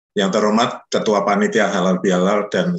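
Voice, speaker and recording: Audible room echo surrounds this man's voice. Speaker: association chairman. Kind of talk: formal welcome speech. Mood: warm, respectful, festive. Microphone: video call.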